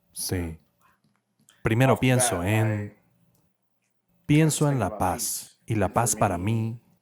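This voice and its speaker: At a very slow pace with long, frequent pauses, a man speaks at a fairly low pitch with ordinary pitch variation. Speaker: voice actor doing Spanish dubbing. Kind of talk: dubbed voice-over of a panel discussion on mental health.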